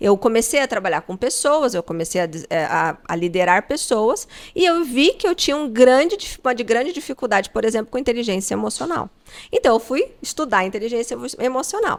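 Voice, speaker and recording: With very wide pitch swings, a woman talks at a fairly quick pace in a high voice. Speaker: podcast host; coach. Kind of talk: interview.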